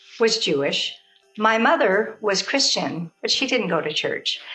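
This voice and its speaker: The speech carries lively intonation over music in the background. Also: woman. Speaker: grandmother storyteller. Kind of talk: personal memory storytelling to camera. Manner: gentle.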